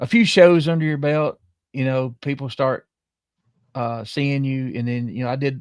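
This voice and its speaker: With a Southern US accent, a man speaks at medium pitch and a moderate pace with ordinary pitch variation, in a dry, close sound with no echo over a quiet background. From southern middle Tennessee. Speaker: podcast host. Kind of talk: casual live-stream chat.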